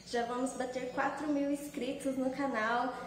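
With audible room echo and light background noise, a woman with a high pitch talks at a moderate pace in a monotone, flat intonation. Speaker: home cooking channel host. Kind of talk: casual vlog chat. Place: kitchen. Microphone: phone near.

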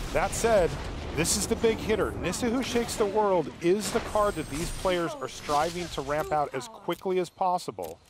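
Over noticeable background noise, a man with a high pitch talks at a moderate pace in an upbeat, energetic tone with lively intonation. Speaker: esports commentator. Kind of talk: live esports commentary. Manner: play-by-play, energetic and fluent; upbeat, narrating each turn in real time.

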